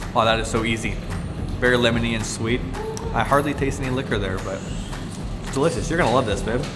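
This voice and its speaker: Music plays in the background. A man is speaking over it. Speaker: travel vlogger. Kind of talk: casual vlog chat. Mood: cheerful, playful. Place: bar.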